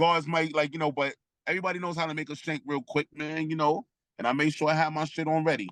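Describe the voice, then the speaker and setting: In a Brooklyn accent, a man talks very fast at a fairly high pitch with fairly even intonation. The sound is dry and close, with no echo. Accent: New York (Brooklyn). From Brooklyn, New York. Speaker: former prisoner. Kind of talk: interview storytelling. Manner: loud, projecting; halting, many restarts.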